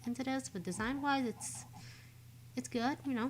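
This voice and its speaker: The woman's voice is somewhat breathy. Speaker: vtuber streamer. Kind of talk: casual live-stream commentary. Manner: casual, hesitant with many fillers.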